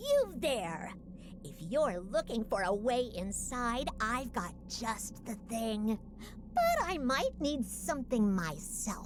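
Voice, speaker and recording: A put-on character voice, female-sounding and shrill, sits at a fairly high pitch for a woman. It goes at a very slow pace over clear background noise. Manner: calling out, offering a deal.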